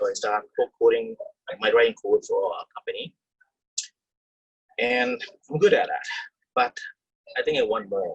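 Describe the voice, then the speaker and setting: A man with a non-native accent leaves long, frequent pauses. The sound is dry and close with no echo. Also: moderate pace. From third-world country, immigrated to Canada as teen. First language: not English. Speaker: Canadian Army veteran. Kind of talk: personal testimony. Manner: halting.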